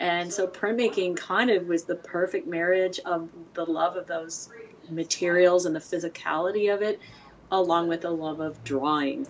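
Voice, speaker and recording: Against noticeable background noise, a woman with a fairly low pitch talks at a moderate pace with fairly even intonation. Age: 50s. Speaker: print shop director and printmaker. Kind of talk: casual interview chat. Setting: studio, dog nearby. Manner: chatty, laughs often.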